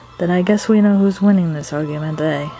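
A female-sounding voice performs a put-on character voice with clear music playing in the background. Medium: dub. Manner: indignant, smug.

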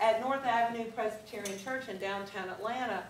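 A woman talks at a fairly quick pace. There is light background noise and audible room echo. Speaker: fitness instructor giving a talk. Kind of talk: presentation to a live audience. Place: meeting room. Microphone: camera far.

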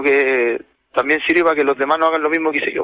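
His tone bright and sharp, a man speaks with fairly even intonation. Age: 40s. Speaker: caller, farm worker. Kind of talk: phone-in confession.

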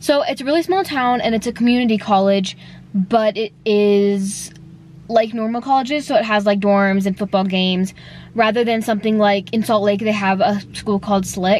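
Over light background noise, a woman speaks at a moderate pace with fairly even intonation, the sound dry with no echo. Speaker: vlogger. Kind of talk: casual vlog chat. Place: car. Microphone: phone near.

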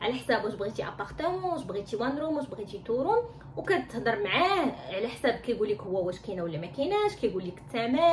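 Light background noise sits under the speech. The delivery moves at a fairly quick pace. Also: woman. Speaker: vlogger. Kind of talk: casual tutorial vlog. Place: home room. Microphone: phone near.

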